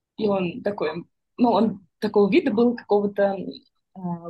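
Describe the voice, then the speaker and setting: The woman's voice is somewhat breathy. She speaks at a medium pitch with ordinary pitch variation. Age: 30s. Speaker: volunteer coordinator. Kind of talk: casual chat.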